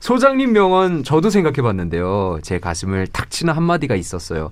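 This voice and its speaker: The man's voice is fairly high and moves at a moderate pace. Very wide pitch swings mark his speech. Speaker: announcer co-host. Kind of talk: casual radio chat. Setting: radio studio.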